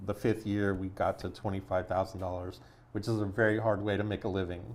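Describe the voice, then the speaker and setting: A man at a fairly quick pace, with monotone, flat intonation. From US Midwest, Chicago. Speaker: entrepreneurship nonprofit founder. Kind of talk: podcast interview.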